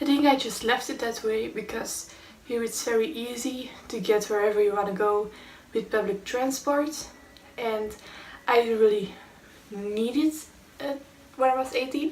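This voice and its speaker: A woman with a Belgian accent speaks at a moderate pace with long, frequent pauses, and the recording has audible room echo and noticeable background noise. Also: fairly high pitch for a woman, ordinary pitch variation. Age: 20s. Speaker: chronic illness vlogger. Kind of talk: storytime vlog.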